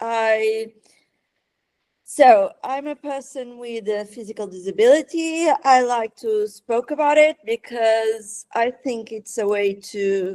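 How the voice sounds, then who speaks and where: Very slowly, a woman with a Portuguese accent speaks in a fairly high pitch with a dark, mellow tone, the sound dry and close with no echo. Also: ordinary pitch variation, big swings in loudness. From Portugal. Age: 20s. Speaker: fashion writer, former designer. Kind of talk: podcast interview. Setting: online call. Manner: halting, repeats words.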